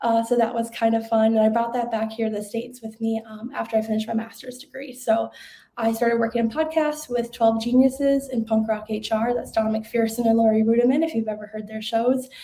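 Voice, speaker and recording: A woman with a Minnesota accent talks at a fairly quick pace with hardly any pauses, her fairly high, somewhat breathy voice dark and mellow in tone and her intonation monotone and flat. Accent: Minnesotan. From Minnesota, US Upper Midwest. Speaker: webinar presenter, marketing manager. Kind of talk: webinar presentation. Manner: fast.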